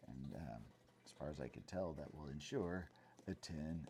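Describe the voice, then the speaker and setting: A soft-spoken man talks at a moderate pace with a very deep, low pitch. His tone is dark and mellow with vocal fry, and his pitch varies in an ordinary way. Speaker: math education student and video blogger. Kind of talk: comedic monologue. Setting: at home at night. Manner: halting, many fillers.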